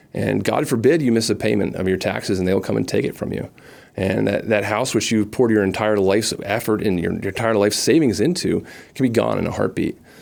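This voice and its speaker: Fairly quick speech from a man with an American accent, fairly low in pitch, with ordinary pitch variation. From northwestern New Jersey. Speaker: political candidate. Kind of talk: call-in interview. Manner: halting, many fillers and repetitions.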